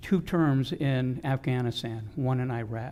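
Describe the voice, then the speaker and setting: A dark, mellow tone with ordinary pitch variation. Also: man. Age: 60s. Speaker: city council member. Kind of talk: public meeting debate. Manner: repetitive, halting.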